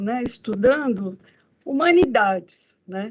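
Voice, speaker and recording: Speaking very slowly, a woman uses lively intonation and a high pitch. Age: 60s. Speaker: federal judge, court president. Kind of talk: speech to students. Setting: video call from her office. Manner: conversational, with fillers.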